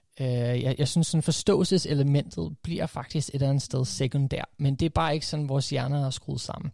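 A man talks at a fairly quick clip, his fairly high pitch moving with ordinary variation through a somewhat breathy, dark, mellow tone. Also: hardly any pauses. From USA (half American, first 12 years), then Denmark. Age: 30s. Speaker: coach and podcaster. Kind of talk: casual interview. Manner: halting, many fillers.

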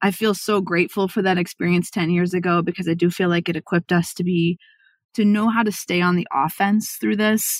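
With a normal speaking voice, a woman talks at a fairly quick pace and fairly low pitch, her loudness very even and intonation fairly even, on a very clean recording with a silent background. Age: 40s. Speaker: marketing agency CEO. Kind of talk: interview conversation.

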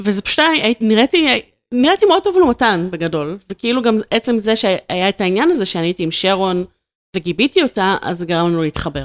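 Using a normal speaking voice, a woman at medium pitch talks at a fairly quick pace with lively intonation, the sound dry and close with no echo. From Israel, Ramat Gan. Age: 30s. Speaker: video marketing entrepreneur. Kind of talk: casual interview.

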